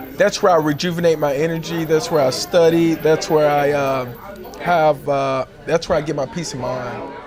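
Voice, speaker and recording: With an American accent, a man with a fairly high pitch speaks at a moderate pace with fairly even intonation as music plays in the background. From Texas, Fort Worth. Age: 30s. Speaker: homeless choir singer. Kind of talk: interview testimony.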